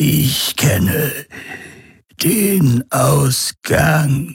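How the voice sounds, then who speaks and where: In a put-on character voice, a man sounds raspy with a fairly high pitch. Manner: eerie.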